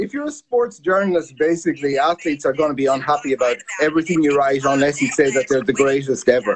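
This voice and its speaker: Speaking at a very fast pace with hardly any pauses, a man holds a fairly high pitch. His pitch variation is ordinary, with light background noise behind him. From Ireland. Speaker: sports journalist, former sumo wrestler; interview guest, sports journalist. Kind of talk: interview. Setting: video call. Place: home room. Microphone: video call.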